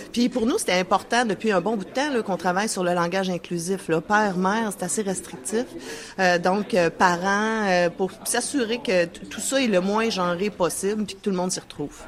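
Amid noticeable background noise, a woman with medium pitch speaks at a moderate pace, her pitch varying in an ordinary way. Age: 40s. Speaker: union representative. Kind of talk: interview.

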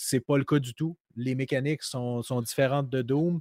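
This man talks at a fairly slow pace with a Quebec accent. His intonation is fairly even, and the sound is dry and close with no echo. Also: very clean recording, silent background. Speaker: podcast co-host, game tester. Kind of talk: casual chat.

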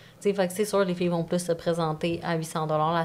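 At a fairly quick pace, a woman speaks with a fairly low pitch on a very clean recording with a silent background. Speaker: OnlyFans creator and coach. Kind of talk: casual chat.

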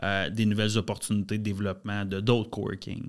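The recording is very clean with a silent background. A man speaks at a moderate pace with a fairly low pitch. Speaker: entrepreneur. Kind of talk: casual chat.

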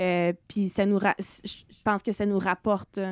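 At a very slow pace, a woman speaks at medium pitch with a dry, close sound and no echo. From Quebec, Eastern Townships (Saint-Césaire). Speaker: chef and restaurant owner. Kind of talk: casual interview.

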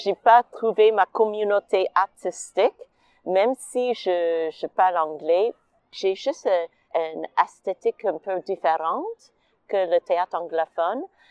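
A woman speaks very slowly at a medium pitch with an English accent, her pitch varying in an ordinary way over a quiet background, and the sound is dry and close with no echo. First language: English (speaking French). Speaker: artist and stage director. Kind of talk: personal testimony.

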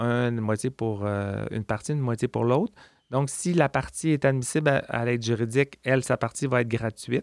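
Fairly quick in pace, a man talks at a medium pitch with ordinary pitch variation, in a very clean recording with a silent background and a dry, close sound with no echo. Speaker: legal aid lawyer. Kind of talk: interview. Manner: halting.

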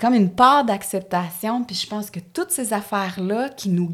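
A woman with a Quebec accent speaks at a medium pitch with ordinary pitch variation, on a very clean recording with a silent background. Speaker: actress and character comedian. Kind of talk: casual chat. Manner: animated.

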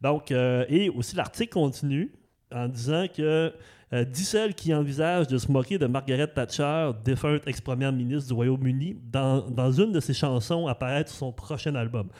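In a very clean recording with a silent background, a man speaks at a moderate pace with a fairly high pitch, a dark, mellow tone and ordinary pitch variation. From Saguenay, Quebec (Arvida). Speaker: podcast host. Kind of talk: interview. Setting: dance studio. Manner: halting, many repetitions.

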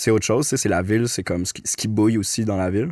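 With an ordinary speaking voice, a man talks at a fairly quick pace with fairly even intonation, on a very clean recording with a silent background. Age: 30s. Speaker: documentary filmmaker. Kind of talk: casual interview chat.

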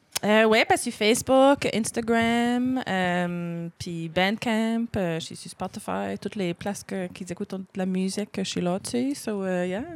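A woman's medium-pitched voice in a strong Acadian accent, very slow with hardly any pauses, ordinary pitch variation and big swings in loudness, on a very clean recording with a silent background. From Acadian, Clare, Nova Scotia. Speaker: singer-songwriter. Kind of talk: casual interview.

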